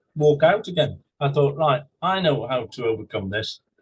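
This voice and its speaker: A man with an English accent speaks at a moderate pace in a fairly high, somewhat breathy voice with lively intonation. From England. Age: 60s. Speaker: husband telling his love story. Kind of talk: interview, personal story.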